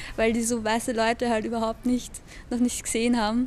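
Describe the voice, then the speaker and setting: A woman's high-pitched voice with a dark, mellow tone, flat monotone intonation and a fairly quick pace. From Austria, Lower Austria (Hollabrunn); Lower Austria. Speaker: interviewee. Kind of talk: personal testimony; interview answer. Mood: cheerful, relaxed. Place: garden.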